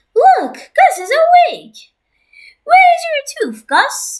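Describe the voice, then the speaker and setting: A woman's squeaky put-on character voice at an extremely high pitch, with very wide pitch swings and a very slow pace. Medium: read story. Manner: calm, easygoing.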